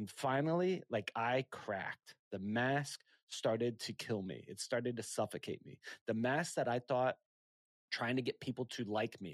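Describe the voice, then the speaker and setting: A plain, everyday voice talks at a moderate pace with ordinary pitch variation. The sound is dry and close with no echo, on a very clean recording with a silent background. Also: man. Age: 40s. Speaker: entrepreneur and podcast host. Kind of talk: casual interview.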